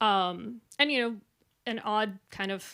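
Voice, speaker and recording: Speaking with an American accent, a woman uses a fairly high pitch and a bright, sharp tone on a very clean recording with a silent background. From US West Coast, Silicon Valley. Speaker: researcher and artist presenting. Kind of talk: conference presentation. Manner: fast when nervous; hesitant with many fillers.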